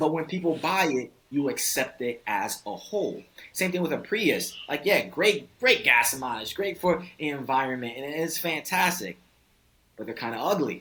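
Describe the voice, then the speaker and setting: A man's fairly high voice with a bright, sharp tone and lively intonation. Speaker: dating coach. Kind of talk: podcast interview. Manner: fast.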